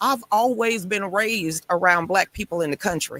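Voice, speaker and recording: The sound is dry and close, with no echo. A woman talks at a moderate speed. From US South. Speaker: guest fighting to keep family land. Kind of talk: talk show interview.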